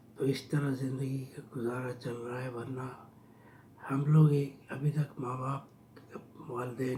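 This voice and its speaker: The voice has monotone, flat intonation, with audible room echo around it. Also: man. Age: 60s. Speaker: vlogger telling his life story. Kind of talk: personal storytelling.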